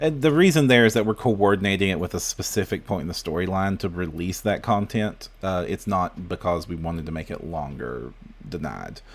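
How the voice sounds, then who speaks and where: A man talks at a fairly quick pace with an American accent. His very deep, low pitch carries lively intonation. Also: hardly any pauses. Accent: Southern US, usually suppressed, stronger now. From US South. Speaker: podcast host. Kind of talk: casual chat. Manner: halting.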